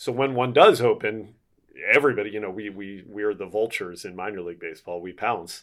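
A man with an American accent and a plain, everyday voice, fairly low in pitch, with ordinary pitch variation at a fairly quick pace, on a very clean recording with a silent background. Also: big swings in loudness. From Philadelphia, US. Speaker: baseball play-by-play broadcaster. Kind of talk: interview.

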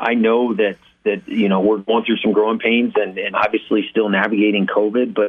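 A man speaks with a fairly low pitch and a flat, monotone intonation. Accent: American. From Texas (El Paso). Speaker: university athletic director. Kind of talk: interview. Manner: halting, many repeated words.

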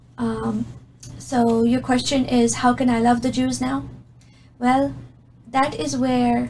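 A woman speaks at a fairly slow pace, with audible room echo around her voice. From Middle East. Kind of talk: testimony.

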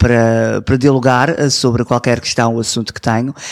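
A man talks in a medium pitch with monotone, flat intonation. The sound is dry and close, with no echo. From Toronto, Canada, to Azorean parents. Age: 20s. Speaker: community representative and TV presenter. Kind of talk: interview. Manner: hesitant, many fillers.

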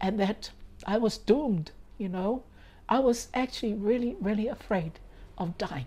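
A woman with a fairly high pitch speaks at a moderate pace, somewhat breathy, in a dark, mellow tone. She leaves long, frequent pauses. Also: ordinary pitch variation. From Cook Islands (Rarotonga). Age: 60s. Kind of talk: personal faith testimony.

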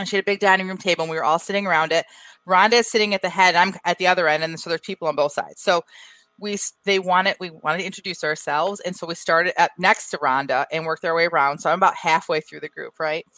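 A woman with an American accent speaks at a very fast pace, her fairly low voice animated with a bright, sharp tone in a dry, close sound with no echo. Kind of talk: casual chat. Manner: laughs often, animated.

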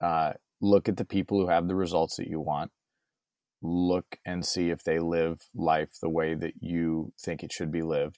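A man with an American accent speaks at a moderate pace in a very deep, low pitch and a monotone, flat intonation, the sound dry and close with no echo on a very clean recording over a silent background. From San Diego, California. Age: 30s. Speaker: podcaster and former broadcaster. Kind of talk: interview.

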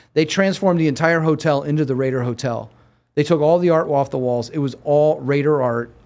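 Talking at a fairly quick pace, a man with an American accent has an ordinary speaking voice. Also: fairly high pitch for a man, fairly even intonation. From Erie, Pennsylvania. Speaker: sports agent. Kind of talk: interview. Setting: studio.

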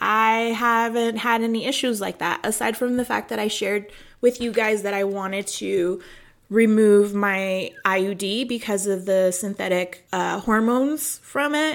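On a very clean recording with a silent background, a woman with an American accent talks at a fairly slow pace, her fairly high pitch showing ordinary pitch variation. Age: 30s. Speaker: nutrition coach and podcast host. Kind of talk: personal storytelling monologue. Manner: casual, conversational.

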